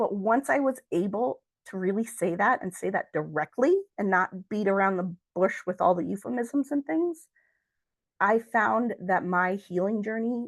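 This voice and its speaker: Against a quiet background, a woman with a plain, everyday voice speaks at a fairly slow pace and medium pitch, with ordinary pitch variation and a dry, close sound with no echo. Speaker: grief educator and speaker. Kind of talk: presentation.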